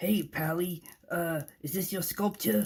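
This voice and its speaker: A cartoonish character voice at a middle pitch and fairly slow pace. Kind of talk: variety show host patter. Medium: puppet show.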